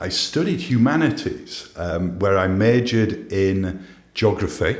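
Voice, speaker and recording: Audible room echo surrounds a man speaking at a fairly slow pace, his fairly low voice carrying lively intonation. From northern England (Holmfirth, Huddersfield, West Yorkshire). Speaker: business coach for CEOs. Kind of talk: podcast interview.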